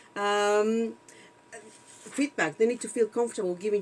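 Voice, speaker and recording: A woman speaks with a non-native accent. Her pitch is fairly high and her pace fairly quick. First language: not English. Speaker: video podcast co-host. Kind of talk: casual chat. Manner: halting, many fillers.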